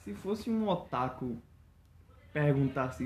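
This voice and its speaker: A man with a somewhat breathy, fairly high voice swings his pitch very widely. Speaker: podcast guest. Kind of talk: casual chat. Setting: lying on living room floor at home.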